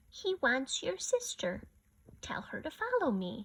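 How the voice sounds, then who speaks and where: Fairly slow delivery in a put-on character voice. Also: woman, high pitch for a woman. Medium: read story.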